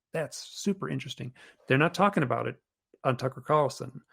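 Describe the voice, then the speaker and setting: The recording is very clean, with a silent background. A man speaks with vocal fry. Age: 60s. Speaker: author and UFO experiencer. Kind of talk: podcast interview.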